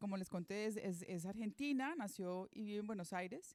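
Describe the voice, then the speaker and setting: The speaker uses a normal speaking voice. The pace is moderate. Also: woman. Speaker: moderator of a literary talk, teacher. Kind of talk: panel introduction.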